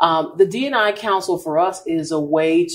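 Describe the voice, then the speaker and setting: A woman with a fairly low pitch and lively intonation has an unremarkable speaking voice. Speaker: marketing and sales executive. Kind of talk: casual interview. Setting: live at a store.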